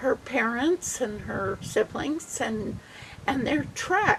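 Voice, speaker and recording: Through noticeable background noise, a woman speaks with very wide pitch swings. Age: 70s. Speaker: church member telling a family history. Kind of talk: storytelling.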